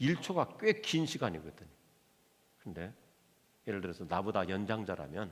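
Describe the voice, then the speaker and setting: A man's fairly low voice at a moderate pace, lively in intonation, broken by long, frequent pauses. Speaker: pastor. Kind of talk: sermon. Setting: church.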